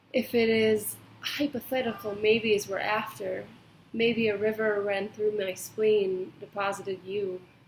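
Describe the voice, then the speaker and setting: A woman talks fairly slowly, her intonation fairly even. Noticeable noise sits in the background. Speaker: poet. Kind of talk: poetry reading.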